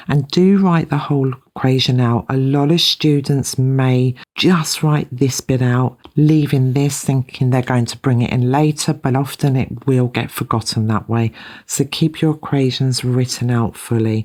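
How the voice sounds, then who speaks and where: A woman with a British accent, very deep and low in pitch, dark and mellow in tone, at a fairly slow pace with hardly any pauses and fairly even intonation, in a very clean recording with a silent background. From UK. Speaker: maths teacher. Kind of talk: tutorial.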